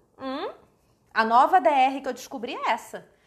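A woman's high, animated voice at a fairly slow pace, with very wide pitch swings. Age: 30s. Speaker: author. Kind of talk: casual chat. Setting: livestream.

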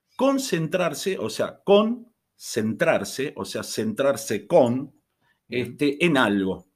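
On a very clean recording with a silent background, a man speaks very slowly with very wide pitch swings. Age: 50s. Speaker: chemistry teacher. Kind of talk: casual interview.

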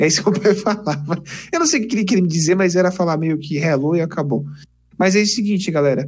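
Very fast speech with ordinary pitch variation. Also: man, high pitch for a man. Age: 20s. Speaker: engineering student and YouTuber. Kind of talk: casual interview chat. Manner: animated.

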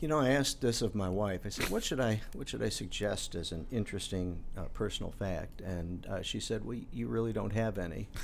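A man with an American accent talks at a fairly quick pace with hardly any pauses and ordinary pitch variation. There's vocal fry in his voice and audible room echo. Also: fairly low pitch for a man. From Chicago, North Side. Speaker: airport board chairman, former radio journalist. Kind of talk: casual interview.

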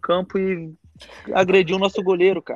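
Here a man speaks with a high pitch. He keeps a moderate pace. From Brazil, Minas Gerais (Monte Sião). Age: 20s. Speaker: professional footballer. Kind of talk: casual interview. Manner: halting, many repetitions and fillers.

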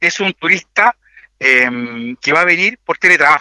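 With a Chilean accent, a man talks in a high pitch with very wide pitch swings. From Chile, Maule region (Linares). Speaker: municipal tourism director. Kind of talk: radio interview. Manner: halting, many repetitions and fillers.

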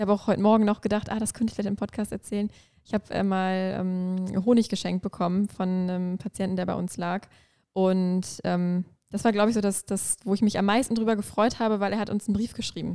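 A woman with a dark, mellow tone and medium pitch speaks at a fairly quick pace in a flat monotone. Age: 20s. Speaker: intensive care nurse. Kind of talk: casual interview.

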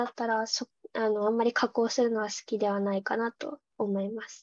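Speaking at a fairly quick pace, a woman with a high pitch is heard in a dry, close sound with no echo. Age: 19. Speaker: university student, amateur photographer. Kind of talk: casual chat.

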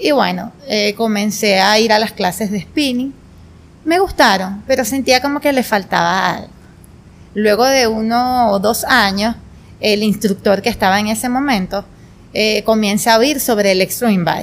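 This woman has a plain, everyday voice, pitched fairly high, and talks at a fairly slow pace with ordinary pitch variation. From Venezuela, Portuguesa state. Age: 20s. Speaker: spinning instructor and entrepreneur. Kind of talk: casual interview.

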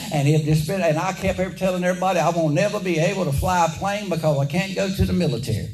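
With a Southern US accent, a man talks at a very fast pace with hardly any pauses. His pitch is high, with ordinary variation, against noticeable background noise. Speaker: preacher. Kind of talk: sermon. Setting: church. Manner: animated.

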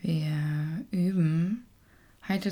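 Somewhat breathy and dark, mellow in tone, a woman speaks at a very deep, low pitch with fairly even intonation. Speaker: meditation teacher. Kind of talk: guided meditation, gentle and unhurried, addressing listener as "du". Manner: slow, soft-spoken, calm and soothing with long pauses.

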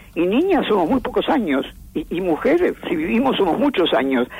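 A woman at a fairly quick pace against noticeable background noise. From Argentina. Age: 80s+. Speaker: philosopher and writer. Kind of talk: interview.

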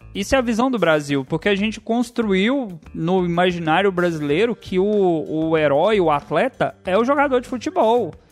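Over music in the background, a high-pitched man speaks at a moderate pace with lively intonation and hardly any pauses. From Brazil, Goiás. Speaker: podcast host. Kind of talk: casual chat. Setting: home room.

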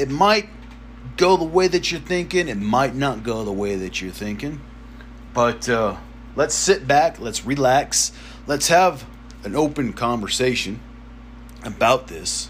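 Over noticeable background noise, a man with an American accent talks at a fairly slow pace, with long, frequent pauses. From US South. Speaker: podcast host. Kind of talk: opinion monologue. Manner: casual, profane.

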